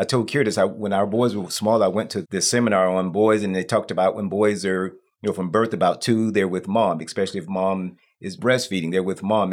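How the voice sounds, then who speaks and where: The speech moves at a fairly quick pace with ordinary pitch variation in an unremarkable speaking voice. It is a very clean recording over a silent background. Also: man. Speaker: church member and father. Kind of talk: casual chat.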